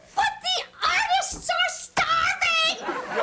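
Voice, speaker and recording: Using a put-on character voice, a woman speaks at an extremely high pitch. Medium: comedy sketch. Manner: earnest, easily flustered.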